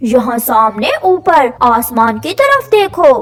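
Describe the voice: Here a woman uses a cartoonish character voice pitched high. Her pace is very slow.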